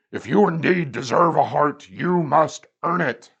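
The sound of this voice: A man's put-on, gruff character voice, fairly high in pitch, at a moderate pace.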